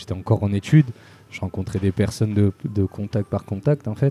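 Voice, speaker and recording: Dry and close with no echo, the recording has a man with a fairly low, dark, mellow, somewhat breathy voice speaking at a fairly quick pace with ordinary pitch variation. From Spain and Marseille. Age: 20s. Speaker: start-up founder. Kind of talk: interview. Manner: casual.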